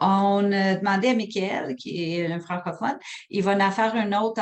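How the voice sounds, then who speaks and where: A woman speaks at a very slow pace with an English accent. Her pitch variation is ordinary. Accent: anglicized French, from working in English. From Quebec, Sherbrooke. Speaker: hospital program manager, webinar presenter. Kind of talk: webinar presentation and Q&A. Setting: online webinar. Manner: hesitant, many fillers.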